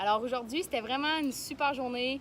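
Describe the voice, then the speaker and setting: Speaking in a Quebec accent, a woman with a high pitch keeps a moderate pace and ordinary pitch variation. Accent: Québécois French. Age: young. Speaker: vlogger, young entrepreneur. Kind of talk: casual vlog. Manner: halting, many fillers.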